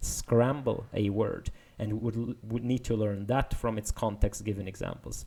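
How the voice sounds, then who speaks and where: A man with a non-native accent speaks at a moderate pace and medium pitch, with fairly even intonation. His tone is dark and mellow, and somewhat breathy. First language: not English. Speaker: machine learning video explainer. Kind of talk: paper walkthrough tutorial. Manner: casual, with many fillers.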